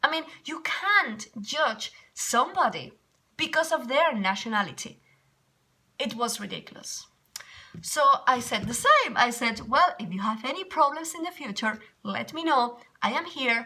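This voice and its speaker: A woman with a Spanish accent speaks in a raised, projected voice at a high pitch. Her pitch swings very widely and her pace is fairly slow. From Spain. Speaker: English teacher. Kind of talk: casual vlog storytelling. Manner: animated.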